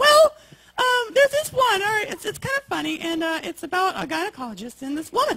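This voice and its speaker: A man puts on a squeaky character voice with an extremely high pitch and a fairly quick pace. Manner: comic storytelling.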